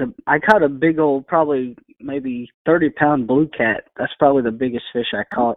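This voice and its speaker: Speaking with a Texas accent at a moderate pace, a man uses a fairly high pitch and ordinary pitch variation. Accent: Texas Southern. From Texas, East Bernard. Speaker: country singer-songwriter. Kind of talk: interview. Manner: hesitant, many fillers.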